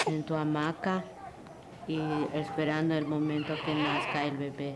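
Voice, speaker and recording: Over noticeable background noise, a woman speaks very slowly in a very deep, low pitch. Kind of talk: documentary interview answer.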